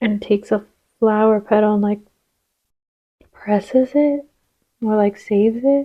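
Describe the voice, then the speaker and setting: A quiet woman's voice, fairly high in pitch, with a dark, mellow tone, fairly even intonation and long, frequent pauses. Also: fairly slow pace. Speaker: tarot reader. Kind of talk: tarot reading. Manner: casual, with many fillers.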